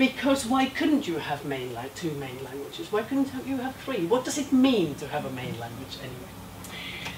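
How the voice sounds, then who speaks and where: Over noticeable background noise and audible room echo, a woman talks at a fairly low pitch with very wide pitch swings and big swings in loudness. She keeps a moderate pace with hardly any pauses. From Finland. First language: Finnish. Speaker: education professor. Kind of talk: lecture.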